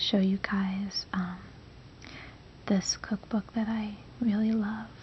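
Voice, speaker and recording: A soft-spoken woman's medium-pitched voice, gentle and relaxed in tone, with monotone, flat intonation. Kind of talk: ASMR soft-spoken casual talk to camera. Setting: home recording with microphone. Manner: soft-spoken, gentle, relaxed.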